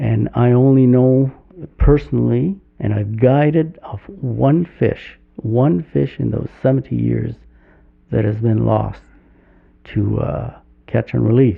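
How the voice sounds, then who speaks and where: This man speaks at a very slow pace. He leaves long, frequent pauses. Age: 70s. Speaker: fly fishing guide and conservationist. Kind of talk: podcast interview. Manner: halting.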